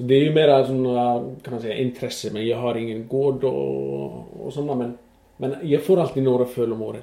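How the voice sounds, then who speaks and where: A man with an Icelandic accent speaks at a medium pitch with fairly even intonation against noticeable background noise. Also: moderate pace. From western Iceland. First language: Icelandic (speaking Swedish). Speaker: horse exporter. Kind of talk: interview. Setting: in his stable. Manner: halting.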